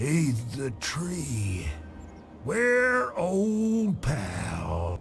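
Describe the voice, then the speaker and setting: A man's put-on character voice against clear background noise. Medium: video game. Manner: rambling, wry.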